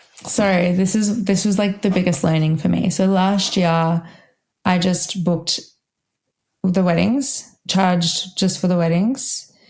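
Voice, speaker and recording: A woman's somewhat breathy voice at medium pitch, with fairly even intonation, very even loudness and a fairly slow pace. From Australia, Melbourne. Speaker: wedding violinist. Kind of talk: podcast interview. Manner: casual, lots of fillers.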